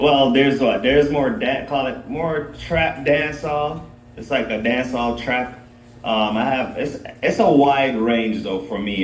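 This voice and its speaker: A man talks at a fairly slow pace with ordinary pitch variation. Audible room echo and noticeable background noise surround his voice. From Jamaica. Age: 30s. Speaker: dancehall artist. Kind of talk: podcast interview.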